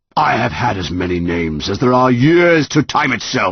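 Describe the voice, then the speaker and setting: A man's raspy, put-on character voice at a medium pitch and moderate pace. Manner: roaring.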